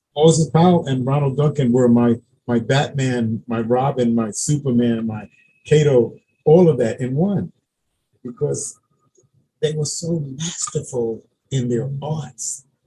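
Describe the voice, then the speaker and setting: Speaking with an American accent, a man at medium pitch uses a dark, mellow tone that is somewhat breathy, moving at a fairly slow pace with long, frequent pauses. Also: ordinary pitch variation. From Brooklyn, New York. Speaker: martial arts grandmaster. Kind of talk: interview.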